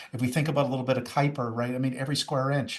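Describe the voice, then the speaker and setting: A somewhat breathy voice is heard against a quiet background. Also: man. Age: 60s. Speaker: youth and young adult ministry pastor. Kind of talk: podcast interview. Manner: enthusiastic.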